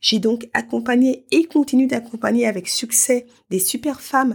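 An unremarkable speaking voice moves at a moderate pace. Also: woman. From France, Paris. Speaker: podcast host and life coach. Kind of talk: solo podcast monologue.

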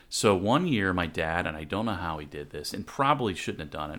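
The man's tone is bright and sharp, with ordinary pitch variation and a very fast pace. The recording is very clean, the background silent. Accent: American. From US South. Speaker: podcast host. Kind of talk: casual chat.

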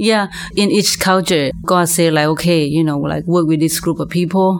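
Fairly low female voice at a moderate pace, fairly even in intonation, with noticeable background noise. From Laos. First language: Lao. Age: 40s. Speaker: minister. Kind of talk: testimony.

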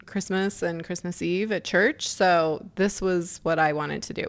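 A woman with a plain, everyday voice speaks at a fairly slow pace and medium pitch, with ordinary pitch variation. The recording is very clean, with a silent background. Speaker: podcast host and life coach. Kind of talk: solo podcast monologue. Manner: casual with frequent laughter.

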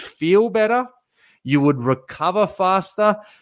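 A man speaks in an animated tone at a fairly slow pace, his pitch high for a man with ordinary variation. The recording is very clean, with a silent background. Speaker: fitness coach podcaster. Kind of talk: solo monologue podcast, motivational talk. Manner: animated, motivational, casual.

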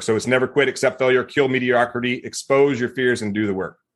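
This is a man with an American accent. He has an ordinary speaking voice. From US South, Mississippi. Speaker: retired military veteran, business founder. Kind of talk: casual interview.

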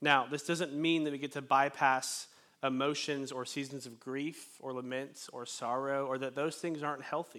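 This man's voice is fairly high in pitch with a bright, sharp tone and a monotone, flat intonation, moving at a moderate pace on a very clean recording with a silent background. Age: 20s. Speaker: pastor. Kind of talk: sermon. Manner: casual, with frequent fillers.

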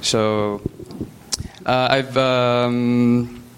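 A man speaks in a medium pitch with a Filipino accent and a monotone, flat intonation. Noticeable background noise is present. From Philippines. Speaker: church member. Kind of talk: testimony. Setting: church.

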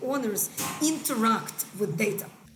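Over noticeable background noise, a woman with a fairly high pitch speaks at a moderate pace with ordinary pitch variation. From Israel. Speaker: angel investor. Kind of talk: interview.

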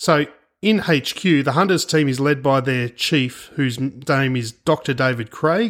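A man with an Australian accent talks at a fairly slow pace, his pitch fairly high with ordinary variation. The recording is very clean, with a silent background. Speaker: private investigator and podcast host. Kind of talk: scripted podcast narration.

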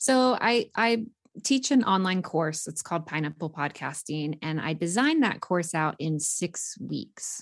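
Against a quiet background, a woman with a normal speaking voice talks at a moderate pace with lively intonation. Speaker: podcasting coach. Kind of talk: casual interview.

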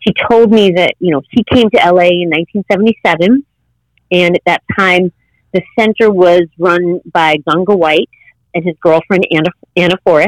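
Her voice is a normal speaking voice, and this woman with an American accent talks at a fairly slow pace and a fairly low pitch. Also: fairly even intonation. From US Midwest, Chicago northwest suburbs. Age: 50s. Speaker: yoga teacher. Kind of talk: casual interview chat.

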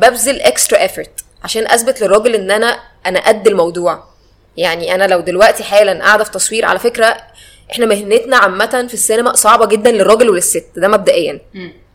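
A woman speaks at a moderate pace in an Egyptian accent. Her pitch is fairly high, with ordinary pitch variation. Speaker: film director and cinematographer. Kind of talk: casual chat.

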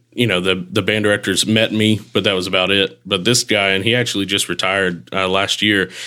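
A man speaks in an unremarkable speaking voice at a fairly low pitch, with fairly even intonation and very even loudness. His fairly quick pace leaves hardly any pauses in a very clean recording with a silent background. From Texarkana, Texas. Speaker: band director. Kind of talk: interview.

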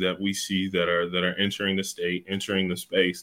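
Speaking with an American accent, a man uses an ordinary speaking voice. His pitch is fairly low, and his pace is fairly quick. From Ohio, Youngstown area. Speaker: science center executive director. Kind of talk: casual interview.

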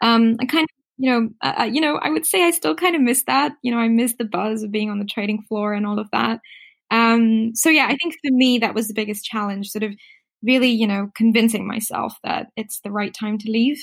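Lively in intonation, a woman speaks fairly quickly in a somewhat breathy, fairly high voice. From Singapore, Indian family. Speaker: fashion rental app founder. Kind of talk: interview.

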